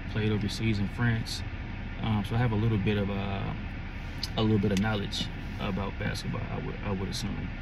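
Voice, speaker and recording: A man talks at a fairly quick pace in a dry sound with no echo, with noticeable background noise. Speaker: sports fan vlogger. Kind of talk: casual vlog chat. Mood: relaxed, conversational. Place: car. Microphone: phone near.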